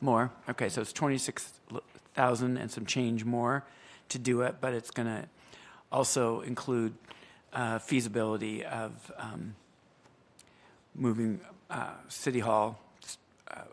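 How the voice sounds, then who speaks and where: Monotone, flat intonation at a very slow pace, with long, frequent pauses. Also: man. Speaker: council chair. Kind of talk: meeting procedure and explanation. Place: hall. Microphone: podium.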